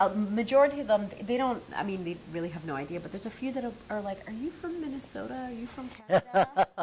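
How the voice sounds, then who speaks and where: Over noticeable background noise, a woman rushes at a very fast pace with hardly any pauses, her fairly high voice making very wide pitch swings and big swings in loudness. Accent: American. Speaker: actress. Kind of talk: interview.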